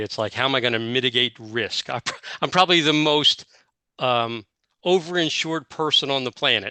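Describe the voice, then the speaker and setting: In a bright, sharp tone, a man speaks at a moderate pace with ordinary pitch variation. The sound is dry and close with no echo, and the background is quiet. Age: 60s. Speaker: YouTuber, technical project manager. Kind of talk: interview testimony. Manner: halting, many fillers.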